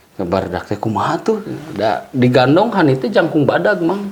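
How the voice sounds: In a room with audible echo, a man speaks at a moderate pace and medium pitch with lively intonation.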